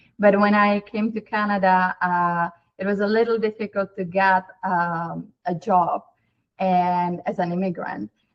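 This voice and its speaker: Speaking at a fairly slow pace in a Czech accent, the voice keeps a monotone, flat intonation. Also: woman, medium pitch for a woman. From Czech Republic. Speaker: company CEO. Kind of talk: interview.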